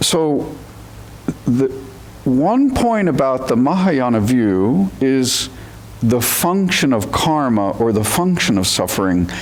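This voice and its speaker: Over noticeable background noise and audible room echo, a man talks at a very slow pace with a medium pitch, very wide pitch swings, and very even loudness. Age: 70s. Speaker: zen teacher. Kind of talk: dharma talk. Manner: halting.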